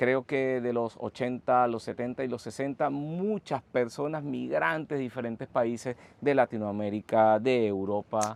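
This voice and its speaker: A man at a fairly slow pace with ordinary pitch variation, a dry, close sound with no echo and a quiet background. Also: medium pitch for a man. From Venezuela. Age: 40s. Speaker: community founder, podcast guest. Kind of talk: interview conversation.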